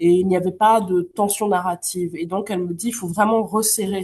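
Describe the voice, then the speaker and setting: A woman speaks at medium pitch in a dark, mellow tone with fairly even intonation. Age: 30s. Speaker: novelist and literature teacher. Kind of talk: interview. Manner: hesitant, many fillers.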